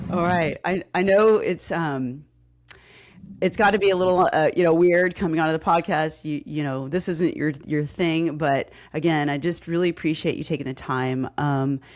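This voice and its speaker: Speaking with a slight Texas accent at a moderate pace, the voice shows ordinary pitch variation over a quiet background. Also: woman, fairly low pitch for a woman. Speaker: podcast host, fitness coach. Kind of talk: casual interview.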